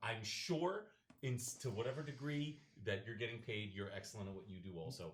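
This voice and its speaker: A man at medium pitch, with lively intonation. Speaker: wedding DJ. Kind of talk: casual chat. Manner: loud.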